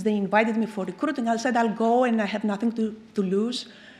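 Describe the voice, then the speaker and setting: Fairly high in pitch, a woman with a Greek accent speaks at a fairly quick pace with fairly even intonation. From Greece. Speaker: chemical engineer. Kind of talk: keynote lecture.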